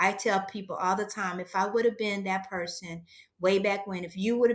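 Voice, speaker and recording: An ordinary speaking voice with an American accent delivers its words with fairly even intonation. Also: woman. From USA. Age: 60s. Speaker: aspiring entrepreneur. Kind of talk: coaching conversation.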